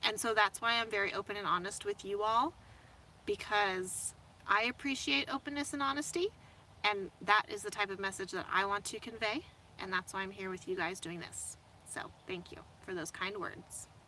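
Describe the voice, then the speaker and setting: A woman with an ordinary speaking voice and an American accent talks at a medium pitch with ordinary pitch variation. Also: moderate pace. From US Midwest, Indianapolis area. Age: 30s. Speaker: van-life vlogger. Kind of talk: casual livestream chat reading viewer comments. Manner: casual, filler-heavy.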